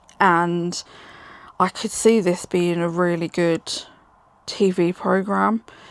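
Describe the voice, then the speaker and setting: With a British accent, a woman speaks in a fairly low, monotone voice with flat intonation at a very slow pace, with long, frequent pauses and a dry, close sound with no echo. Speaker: book reviewer. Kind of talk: casual chat.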